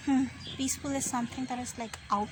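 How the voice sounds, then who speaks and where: A woman speaks with fairly even intonation amid audible room echo and noticeable background noise. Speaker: vlogger. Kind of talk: casual vlog chat. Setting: outdoors at a picnic.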